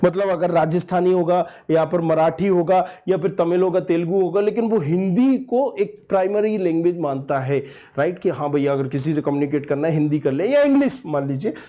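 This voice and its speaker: His voice is high for a man, yet dark and mellow, with lively intonation. He speaks with hardly any pauses and very even loudness. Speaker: education youtuber. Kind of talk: casual vlog talk. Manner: conversational, code-mixing Hindi and English.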